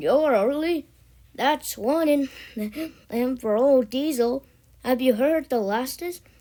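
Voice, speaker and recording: A woman uses a put-on, high-pitched character voice at a fairly slow pace. Long, frequent pauses break it up, and the recording is very clean with a silent background. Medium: read story. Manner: chuckling, hearty.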